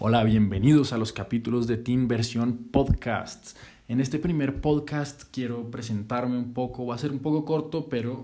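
A man's dark, mellow tone at a fairly slow pace with ordinary pitch variation. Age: 20s. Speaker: podcaster and student. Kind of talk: casual monologue introduction.

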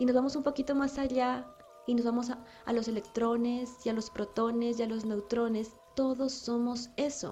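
A woman speaks in a high pitch at a moderate pace. Her intonation is monotone and flat, with noticeable background noise. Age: 30s. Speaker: spiritual podcast host, angel channeler. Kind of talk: spiritual monologue.

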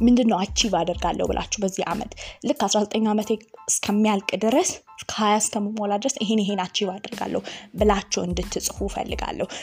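A woman speaks at a medium pitch with fairly even intonation. Background noise is noticeable. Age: young. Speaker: youth podcast host and motivational speaker. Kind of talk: casual podcast monologue.

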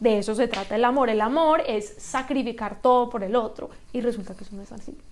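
There is audible room echo around a woman whose fairly high voice shows ordinary pitch variation. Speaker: writer and lawyer. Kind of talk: interview. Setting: in-person studio.

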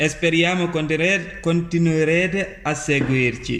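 A man with a fairly high pitch talks at a fairly slow pace. Audible room echo and noticeable background noise are present. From Gambia. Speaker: youth podcast host. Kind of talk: semi-scripted podcast hosting.

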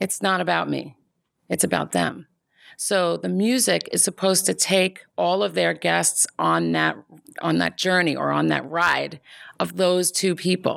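A woman speaks at a fairly slow pace, her loudness very even. The recording is very clean, with a silent background. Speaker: music company founder and producer. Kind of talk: casual interview chat. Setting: studio.

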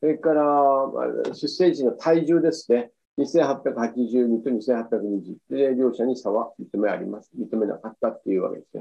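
A man of medium pitch speaks at a fairly slow pace with hardly any pauses. His loudness swings widely while his pitch varies in an ordinary way. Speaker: physician. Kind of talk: lecture. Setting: video call. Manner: halting.

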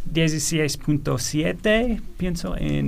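A man's voice with audible room echo. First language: English (speaking Spanish). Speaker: economist. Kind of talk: radio interview panel. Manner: halting with fillers.

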